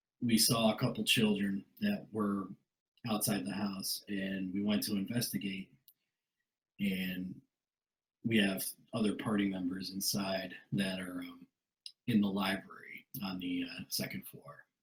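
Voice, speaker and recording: A man's raspy put-on character voice, fairly low-pitched, at a fairly slow pace with fairly even intonation and long, frequent pauses. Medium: actual play. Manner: earnest, straightforward.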